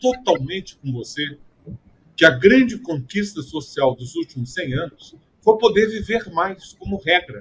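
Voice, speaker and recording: A fairly slow delivery with very wide pitch swings. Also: man. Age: 70s. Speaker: public health expert. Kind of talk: panel discussion.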